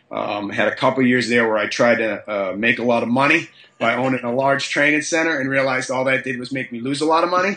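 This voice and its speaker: A man races along at a very fast pace, his pitch shifting in an ordinary way, as noticeable background noise plays. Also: medium pitch for a man. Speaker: high school strength and conditioning coach. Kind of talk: podcast interview. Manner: halting, many fillers and repetitions.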